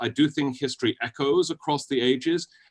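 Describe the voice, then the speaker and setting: A man speaks with a British accent and a fairly high pitch. The sound is dry and close with no echo. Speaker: historian and author. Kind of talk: interview.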